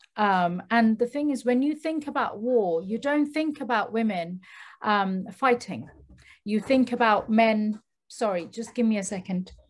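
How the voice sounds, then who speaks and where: This woman has a fairly high, somewhat breathy voice. She speaks at a fairly slow pace with ordinary pitch variation. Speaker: dancer; guest. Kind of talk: panel discussion. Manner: hesitant. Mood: thoughtful, calm. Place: office. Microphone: video call.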